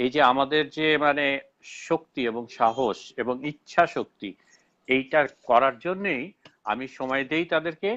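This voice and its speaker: A Bangladeshi accent with ordinary pitch variation. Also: man, fairly high pitch for a man. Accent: Bangladeshi Bengali. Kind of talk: live online debate. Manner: halting, with frequent self-corrections.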